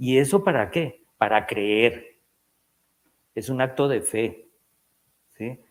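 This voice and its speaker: Lively intonation marks this man's medium-pitched speech, delivered at a very slow pace with long, frequent pauses. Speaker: psychiatrist. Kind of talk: lecture.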